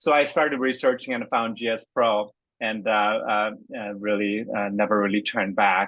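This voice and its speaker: Speaking in a Korean accent, a man has a fairly low pitch. He moves at a moderate pace with ordinary pitch variation. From Korea, then Seattle area from age 13. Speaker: golf course designer for simulator software. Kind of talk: interview. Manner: halting, many fillers.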